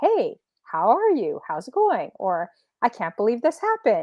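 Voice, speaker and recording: A woman's put-on character voice, high-pitched and sing-song, with a Canadian accent at a moderate pace. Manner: rising, sing-song pitch.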